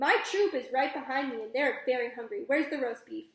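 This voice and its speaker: A woman's put-on, high-pitched character voice, raspy and fairly quick, with big swings in loudness. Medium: read story. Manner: menacing, imperious.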